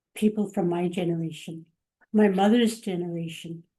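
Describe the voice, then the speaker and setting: A woman with a Canadian accent speaks in a dark, mellow tone at medium pitch, fairly slow in pace, with fairly even intonation. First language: Cree. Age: 60s. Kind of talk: webinar panel discussion.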